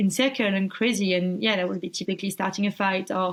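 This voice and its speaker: This is a woman speaking. Her pitch sits in the medium range. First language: not English. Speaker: abuse survivor. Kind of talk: interview. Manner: halting, repeats words.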